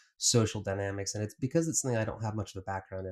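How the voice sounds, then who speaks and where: The recording is very clean, and the background is silent. A man speaks fairly low with an American accent. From United States. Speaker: podcast host. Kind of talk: podcast interview. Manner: halting, repeats words.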